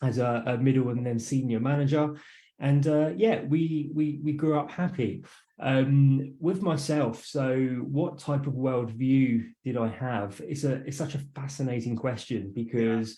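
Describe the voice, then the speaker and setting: With an English accent, a man speaks at a fairly slow pace and medium pitch, somewhat breathy and dark, mellow in tone, with ordinary pitch variation and audible room echo. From southern England, west of London. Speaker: entrepreneur and author. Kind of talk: interview. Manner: halting, many fillers.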